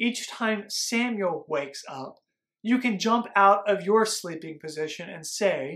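Over a quiet background, someone does plain reading aloud.

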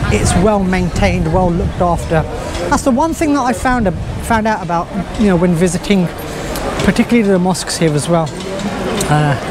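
Dry sound with no echo, a man speaking over loud background noise. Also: fairly quick pace. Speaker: travel vlogger. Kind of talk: casual vlog chat. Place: street. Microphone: phone near.

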